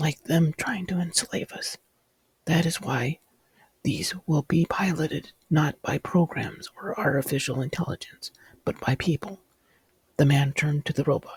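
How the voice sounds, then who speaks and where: Soft-spoken and whispering, a man talks with long, frequent pauses in a dry, close sound with no echo. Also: moderate pace. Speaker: author reading his own fiction. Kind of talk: ASMR story reading. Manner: whispered, soft-spoken.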